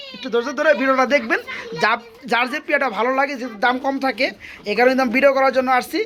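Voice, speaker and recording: Over noticeable background noise, a man with an extremely high pitch speaks in a raised, projected voice with fairly even intonation. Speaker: pigeon vlogger visiting a farm. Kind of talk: vlog-style sales walkthrough. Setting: pigeon farm.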